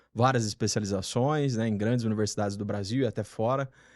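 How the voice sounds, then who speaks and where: The speaker has a Paraná accent. Intonation stays fairly even over a quiet background. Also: man. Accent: Paraná accent, rolled R. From Paraná, Brazil. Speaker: retail management specialist. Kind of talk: podcast interview.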